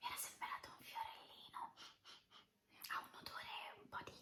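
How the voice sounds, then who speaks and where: Keeping to a moderate pace, a woman talks in a whisper. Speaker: ASMR creator. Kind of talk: ASMR whispering. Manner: whispered; soft-spoken.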